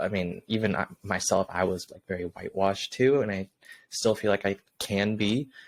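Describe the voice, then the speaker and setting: In a very clean recording with a silent background, a man with an American accent speaks at a moderate pace and a fairly low pitch. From Southern California (Orange County). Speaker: podcast co-host. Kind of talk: casual chat.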